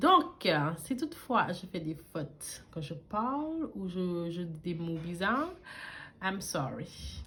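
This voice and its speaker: A woman speaks at a medium pitch with lively intonation and a somewhat breathy sound. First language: not French; learned French at age twelve (speaking French). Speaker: beauty YouTuber. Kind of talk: casual vlog storytelling while doing makeup. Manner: casual, with frequent hesitations.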